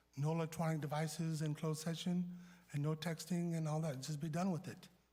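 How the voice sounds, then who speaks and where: A man with a fairly high, dark, mellow voice talks at a fairly quick pace in a flat monotone. Room echo is audible. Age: 60s. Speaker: city council member. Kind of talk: heated debate. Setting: council chamber.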